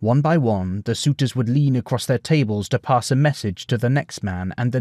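What we hear is a plain read-aloud delivery.

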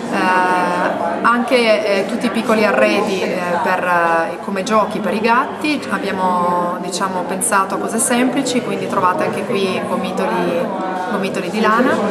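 A woman speaks at a moderate pace with ordinary pitch variation over loud background noise. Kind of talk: interview answer. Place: cafe.

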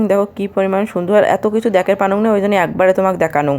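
This is a woman speaking at a medium pitch. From Rangpur, northern Bangladesh. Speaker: cooking vlogger. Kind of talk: vlog cooking narration. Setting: home kitchen. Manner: casual.

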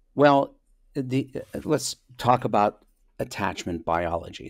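Against a quiet background, a man speaks at a fairly slow pace with lively intonation, the sound dry with no echo. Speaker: remote guest. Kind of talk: interview answer. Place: office. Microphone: webcam.

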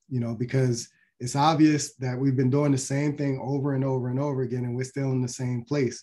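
A man talks in a dark, mellow tone that is somewhat breathy. His intonation stays monotone and flat. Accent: American. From US Mid-Atlantic, Baltimore, Maryland. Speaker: physician. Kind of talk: lecture.

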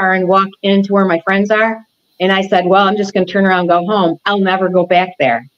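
A woman speaks at a medium pitch. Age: 60s. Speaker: interview guest. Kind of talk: interview answer. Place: home room.

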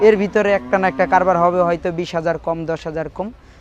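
A man's high pitch with fairly even intonation, amid noticeable background noise. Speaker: cattle trader. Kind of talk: interview.

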